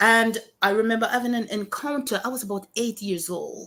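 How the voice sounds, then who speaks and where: A woman with a Jamaican accent, a fairly high pitch and a bright, sharp tone. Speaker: pastor and author. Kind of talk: testimony.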